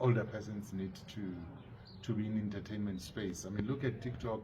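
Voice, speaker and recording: A man speaks in a fairly low voice that is somewhat breathy. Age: 50s. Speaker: HIV activist. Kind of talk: interview answer.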